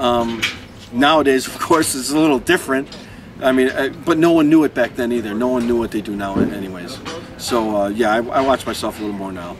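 Against noticeable background noise, a man talks at a fairly quick pace with ordinary pitch variation. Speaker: interviewee. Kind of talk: interview answer. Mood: relaxed, reflective. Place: street. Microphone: lapel.

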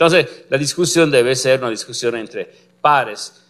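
A man speaks in an Italian accent with ordinary pitch variation. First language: Italian (speaking Spanish). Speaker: physicist, complex systems researcher; lecturer. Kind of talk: lecture. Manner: halting, many fillers. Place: classroom.

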